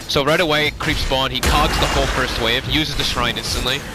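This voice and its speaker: A man speaks with music playing in the background. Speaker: esports caster. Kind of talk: live commentary. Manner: keeping voice down. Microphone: poor makeshift mic, headset broke.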